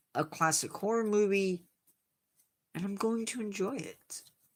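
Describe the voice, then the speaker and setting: A woman of medium pitch with an American accent, on a very clean recording with a silent background. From Indiana, US Midwest. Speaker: science livestream host. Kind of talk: casual chat with live chat viewers. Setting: livestream.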